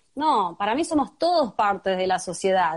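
A woman with an Argentine accent speaks with lively intonation against a quiet background. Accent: Argentine Spanish (voseo). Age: 30s. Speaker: human rights activist and foundation director. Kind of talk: interview. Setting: video call.

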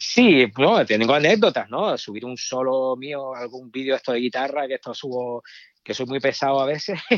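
A man with a medium-pitched voice talks at a moderate pace, varying his pitch in an ordinary way. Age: 50s. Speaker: rock guitarist. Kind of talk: casual chat. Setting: phone call. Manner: halting.

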